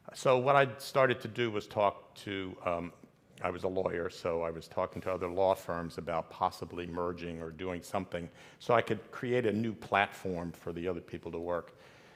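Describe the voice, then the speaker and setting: This man's pitch is very deep and low. He keeps a moderate pace and ordinary pitch variation. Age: 70s. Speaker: retired lawyer. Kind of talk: panel discussion. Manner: halting.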